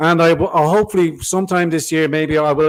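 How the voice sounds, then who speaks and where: Very fast speech in an Irish accent, with fairly even intonation. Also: man. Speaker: political podcast host. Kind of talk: live stream chat.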